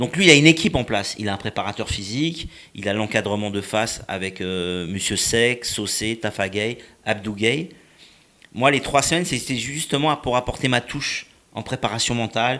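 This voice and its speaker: At a moderate pace, a man talks with a medium pitch. The pitch moves in an ordinary way. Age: 50s. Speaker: boxing and fitness coach. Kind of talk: interview. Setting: studio. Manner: halting.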